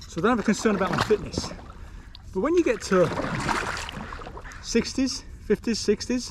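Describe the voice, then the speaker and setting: Speaking in a relaxed tone, a man with a high pitch moves at a moderate pace with lively intonation. He leaves long, frequent pauses over noticeable background noise. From Britain. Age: 60s. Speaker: retired vlogger. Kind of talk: casual vlog talk to camera. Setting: outdoors on a river. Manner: relaxed, chatty.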